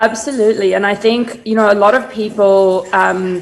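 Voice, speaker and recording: With a slight South African accent, the speaker keeps a moderate pace and fairly even intonation over noticeable background noise. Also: woman. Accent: slight South African accent, noted by herself. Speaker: brand strategist. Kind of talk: interview on a virtual summit. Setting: video call.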